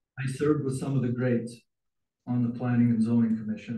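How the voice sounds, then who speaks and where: A somewhat breathy voice with a dark, mellow tone and fairly even intonation. The room echo can be heard. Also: man. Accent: American. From Utah. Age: 60s. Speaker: city council member. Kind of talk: public comment at council meeting. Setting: council chamber.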